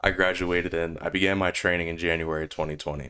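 A very clean recording, silent in the background, of a man at a fairly quick pace. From Rhode Island. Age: 20s. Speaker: podcast host and gamer. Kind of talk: solo podcast monologue. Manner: energetic.

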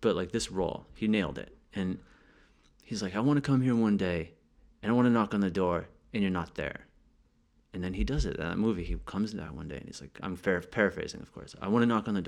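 A man with an American accent, fairly low-pitched and very fast, with big swings in loudness against a quiet background. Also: ordinary pitch variation. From US small town. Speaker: podcast host. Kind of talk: casual chat. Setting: apartment in Paris.

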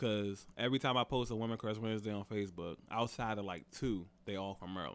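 A man talks at a fairly quick pace with hardly any pauses, in an unremarkable speaking voice. His pitch is fairly low, with ordinary pitch variation. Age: 30s. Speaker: podcast co-host. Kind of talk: casual chat.

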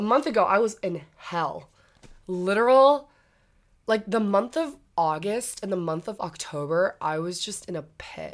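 Her medium-pitched voice rises and falls with lively intonation as this woman speaks at a fairly slow pace on a very clean recording with a silent background. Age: 19. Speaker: podcast co-host, college student. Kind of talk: casual chat.

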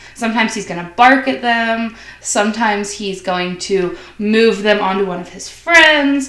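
A woman with an ordinary speaking voice talks at a moderate pace and fairly high pitch, her intonation lively and her loudness swinging widely. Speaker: college student. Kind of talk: casual chat.

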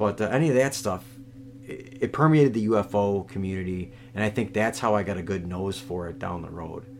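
At a fairly quick pace, a man speaks in a plain, everyday voice, fairly low in pitch, with ordinary pitch variation. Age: 40s. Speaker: comedy podcast host. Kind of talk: comedic casual chat.

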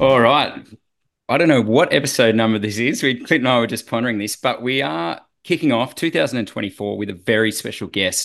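Against a quiet background, someone with an Australian accent talks at a fairly quick pace with ordinary pitch variation. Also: man. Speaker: podcast host, former triathlete. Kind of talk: casual interview.

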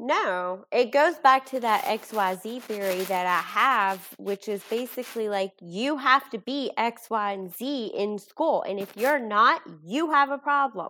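Her voice is fairly high-pitched and bright and sharp in tone, and this woman talks at a fairly slow pace. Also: hardly any pauses. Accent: Kentucky. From Kentucky, Bardstown. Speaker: bereaved mother and support group founder. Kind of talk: podcast interview.

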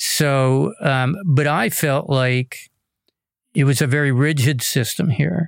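This is a normal speaking voice from a man at a medium pitch. He goes at a fairly slow pace with ordinary pitch variation. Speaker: podcast host. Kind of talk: podcast interview. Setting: studio.

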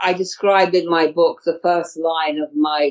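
This is a woman speaking with a British accent. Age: 70s. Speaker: astrologer and healer. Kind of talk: interview.

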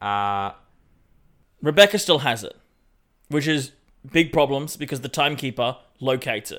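Over a very clean, silent background, a man with an Australian accent and a fairly high voice talks at a moderate pace with lively intonation and long, frequent pauses. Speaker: podcast co-host. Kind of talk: casual chat.

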